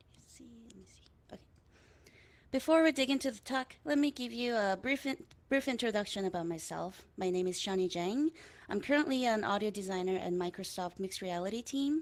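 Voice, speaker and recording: With a Korean accent, a woman speaks fairly quickly at a fairly high pitch, her intonation lively and her loudness swinging widely. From South Korea, Daegu. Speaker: audio designer and composer. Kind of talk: conference talk.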